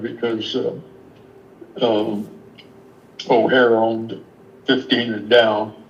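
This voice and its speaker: A man speaks at a very slow pace with an American accent. Audible room echo surrounds his voice. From South Denver. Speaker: retired air traffic controller. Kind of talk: casual chat. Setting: video call.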